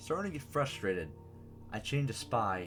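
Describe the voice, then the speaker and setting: A man is talking at a moderate speed. Music can be heard behind him. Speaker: creepypasta reader and writer. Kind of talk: horror story reading.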